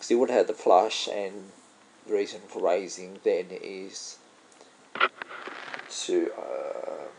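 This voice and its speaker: Very slow delivery in an Australian accent, with long, frequent pauses, big swings in loudness and noticeable background noise. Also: man. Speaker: poker vlogger. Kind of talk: gameplay commentary. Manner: casual thinking aloud.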